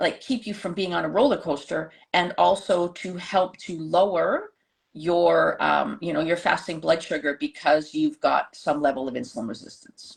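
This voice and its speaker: At a moderate pace, a woman speaks against a quiet background. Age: 60s. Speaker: holistic nutritionist. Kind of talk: casual chat. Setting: live stream.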